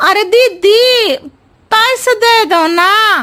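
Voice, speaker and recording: A cartoonish character voice, female-sounding and squeaky, sits at an extremely high pitch. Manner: talks in roundabout riddles.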